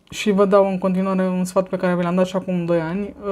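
In a dark, mellow tone, a woman speaks with a fairly low pitch and monotone, flat intonation. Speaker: vlogger. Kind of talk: casual monologue vlog. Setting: filmed at home on a tablet. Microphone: phone near.

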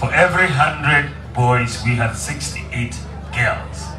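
A man is speaking. Music plays in the background. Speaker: politician at campaign rally. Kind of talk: campaign speech. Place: open country.

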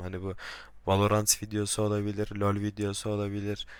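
This is a man's voice. His pitch sits fairly low. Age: young. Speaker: gaming YouTuber. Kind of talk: vlog self-introduction. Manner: hesitant, with filler sounds.

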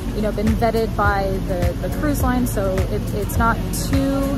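A woman talks at a fairly slow pace with ordinary pitch variation. Loud music plays in the background, though the sound is dry with no echo. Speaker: travel vlogger. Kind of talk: casual vlog chat. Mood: calm, encouraging. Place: waterside. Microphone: phone near.

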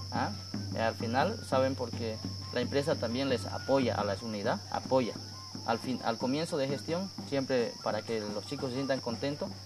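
A man talks at a moderate pace with ordinary pitch variation. Noticeable background noise runs underneath. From Bolivia. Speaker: schoolteacher. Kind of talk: documentary interview. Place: open country.

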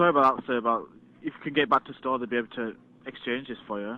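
The sound is dry, with no echo. A man rattles along at a very fast pace. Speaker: customer service agent. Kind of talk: customer service call. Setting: phone line. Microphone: phone line.

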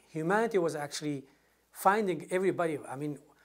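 A man with a Middle Eastern accent speaks very fast at a high pitch, with ordinary pitch variation. The background is quiet. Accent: non-native, Middle Eastern. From northern Iraq, Sinjar; Iraq. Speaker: former military interpreter, immigrant; interviewee. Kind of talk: interview answer. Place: home room. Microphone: lapel.

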